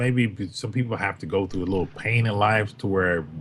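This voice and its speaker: A man's fairly low, somewhat breathy voice at a fairly quick pace, with lively intonation. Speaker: former co-host. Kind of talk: casual chat. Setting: livestream with chat. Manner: carefully enunciated.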